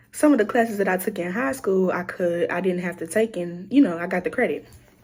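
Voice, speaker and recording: This is a woman's voice. Her speech carries an American accent. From Louisiana, US South. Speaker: content creator, college student. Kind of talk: casual vlog storytelling. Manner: casual, filler-heavy.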